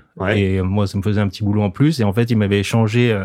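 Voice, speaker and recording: The fairly quick speech comes on a very clean recording with a silent background. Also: man. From French Alps. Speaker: surfboard shaper. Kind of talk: interview. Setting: studio.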